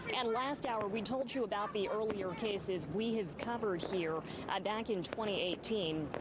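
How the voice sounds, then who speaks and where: Over noticeable background noise, a woman speaks at a moderate pace and medium pitch, with ordinary pitch variation and very even loudness. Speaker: television reporter and helicopter photojournalist. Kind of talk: live news reporting and interview questions. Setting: outdoors at a live news scene.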